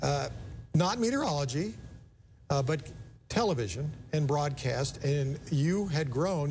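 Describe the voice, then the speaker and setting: In a room with audible echo, a man speaks at a moderate pace in a somewhat breathy voice with a fairly high pitch and lively intonation. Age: 60s. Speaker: TV station manager hosting interview. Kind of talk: interview.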